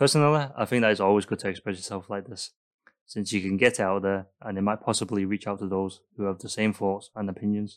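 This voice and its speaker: A man with a Mancunian accent, fairly low in pitch, at a very fast pace with fairly even intonation, on a very clean recording with a silent background. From Manchester, England. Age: 20s. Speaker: student podcaster. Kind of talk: solo podcast monologue.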